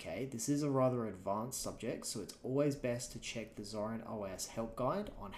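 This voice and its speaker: A man with an Australian accent, medium-pitched, at a fairly quick pace with ordinary pitch variation and audible room echo. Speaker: software instructor. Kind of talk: tutorial. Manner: casual, conversational.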